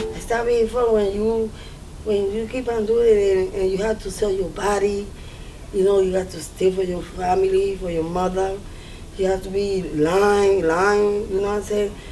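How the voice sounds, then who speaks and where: A woman speaks in a monotone, flat delivery, with audible room echo and noticeable background noise. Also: medium pitch for a woman, moderate pace. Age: 50s. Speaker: recovering addict in treatment. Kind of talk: documentary interview testimony.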